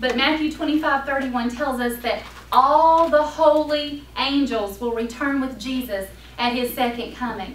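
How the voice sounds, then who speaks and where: Speaking at a moderate pace with a North Carolina accent, a woman with a high pitch keeps her intonation fairly even, with noticeable background noise and audible room echo. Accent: Southern US (North Carolina). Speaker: Sunday school teacher. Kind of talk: Bible lesson.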